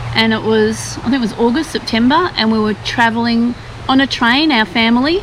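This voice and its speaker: With an Australian accent, a woman speaks at a fairly high pitch and fairly quick pace, her loudness very even and pitch variation ordinary, over noticeable background noise. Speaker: travel vlogger. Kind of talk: casual chat; scripted narration.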